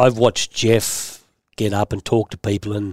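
A man with an Australian accent, fairly low in pitch, with monotone, flat intonation and a dry, close sound with no echo. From Australia, western Sydney. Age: old. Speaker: former racing driver, body repair business owner. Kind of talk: interview.

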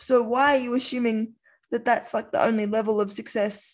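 Woman with an Australian accent, fairly high pitch, fairly even intonation and a moderate pace against a quiet background. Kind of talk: casual conversation.

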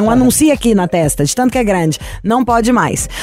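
A woman speaks at a fairly quick pace with lively intonation and an animated tone. Noticeable background noise runs behind her. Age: 30s. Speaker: radio host. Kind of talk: casual chat. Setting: studio.

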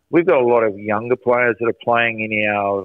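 Fairly quick in pace, this man speaks with an Australian accent. His intonation stays fairly even. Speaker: soccer coach. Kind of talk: casual radio interview. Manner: loud.

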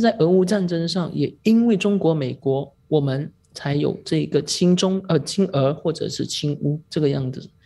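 A woman's fairly low, dark, mellow voice, somewhat breathy, at a fairly slow pace with lively intonation and a quiet background. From Malaysia. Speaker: newspaper reporter. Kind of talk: podcast discussion.

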